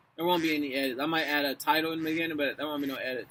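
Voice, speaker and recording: Loud and very fast, a man speaks in a fairly high, bright, sharp voice with monotone, flat intonation. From Louisville, Kentucky. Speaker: author and actor. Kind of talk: casual vlog, then reading aloud. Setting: outdoors. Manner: casual, halting.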